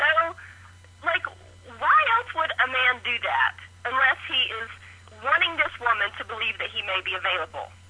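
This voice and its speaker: Noticeable background noise sits behind a woman with a high pitch. She keeps a moderate pace but leaves long, frequent pauses. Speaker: caller. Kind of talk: voicemail. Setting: phone call.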